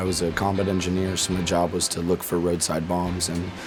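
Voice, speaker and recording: A man speaks with an American accent at a very deep, low pitch. The room echoes audibly, and background noise is noticeable. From Florida, US. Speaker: war veteran, amputee surfer. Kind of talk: interview testimony.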